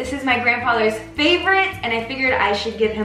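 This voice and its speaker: Raised, projected female voice at a fairly quick pace, with audible room echo and light background noise. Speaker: home baking host. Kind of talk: tutorial. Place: kitchen. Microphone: camera far.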